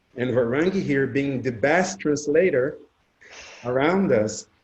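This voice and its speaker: A man with a Portuguese accent talks at a fairly slow pace, his voice fairly high and somewhat breathy. His intonation is lively. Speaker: spiritual discussion panelist. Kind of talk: casual group discussion.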